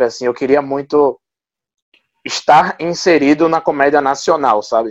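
With fairly even intonation, a man speaks in a plain, everyday voice at a fairly high pitch. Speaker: stand-up comedian. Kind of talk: casual interview.

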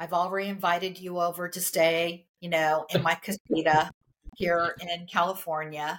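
Speaking at a moderate pace, a woman with a fairly low pitch shows big swings in loudness. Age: 60s. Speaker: career coach, company founder. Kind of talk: casual interview. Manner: animated.

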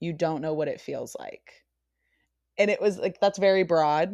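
Recorded very cleanly against a silent background, a woman with a West Coast American accent speaks at a medium pitch with fairly even intonation. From Northern California, US. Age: 20s. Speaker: podcast guest living with Lyme disease. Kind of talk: casual interview chat.

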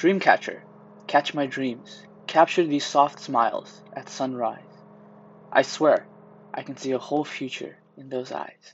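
Fairly slow speech broken by long, frequent pauses. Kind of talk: poem reading, gentle. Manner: soft, dreamy, tender.

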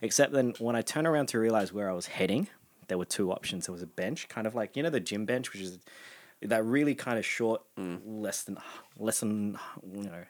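Fairly low male voice at a moderate pace with ordinary pitch variation. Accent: Australian. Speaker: podcast guest. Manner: casual storyteller.

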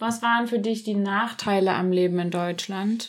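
Her voice sits at a medium pitch for a woman. The intonation is monotone and flat. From Germany. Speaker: podcast host. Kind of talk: casual chat.

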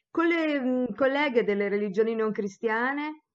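A woman is the speaker. Her pitch rises and falls in an ordinary way. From Tuscany, Italy. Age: 60s. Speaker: theologian and professor. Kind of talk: interview answers.

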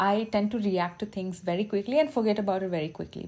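In an Indian accent, a woman talks very fast with a dark, mellow tone. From India, Bangalore. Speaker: podcast host and social media content creator. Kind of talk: casual solo monologue. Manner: casual, unpolished delivery.

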